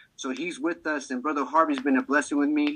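A fairly high-pitched male voice at a fairly quick pace, bright and sharp in tone, with ordinary pitch variation and a dry, close sound with no echo. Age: 40s. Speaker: minister. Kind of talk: testimony.

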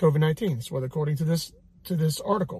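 Speaking in a high pitch, a man keeps a fairly quick pace. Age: 30s. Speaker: fitness and faith podcast host. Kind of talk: casual health talk. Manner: animated.

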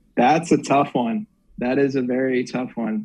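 With an American accent, a man talks using lively intonation. His pitch is fairly high. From Northern Virginia. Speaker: sports reporter. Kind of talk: casual chat.

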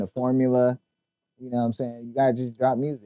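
A man with an American accent and medium pitch at a fairly quick pace, dry and close with no echo, over music in the background. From Long Beach, California. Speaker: music playlist curator. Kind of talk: casual chat.

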